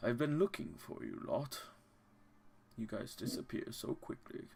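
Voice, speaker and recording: A man performs a put-on character voice. His pace is moderate. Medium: actual play. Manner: jovial, polite.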